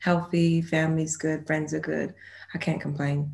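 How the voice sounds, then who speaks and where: This woman's voice sits at a very deep, low pitch, with vocal fry and monotone, flat intonation. The recording is very clean, with a silent background. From London, then moved to the US when young. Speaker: actress. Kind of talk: interview.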